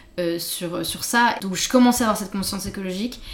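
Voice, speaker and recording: Speaking at a fairly quick pace with ordinary pitch variation, this voice comes through noticeable background noise and audible room echo. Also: woman. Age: 30s. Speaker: illustrator and art director. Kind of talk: casual interview chat. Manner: hesitant, many fillers.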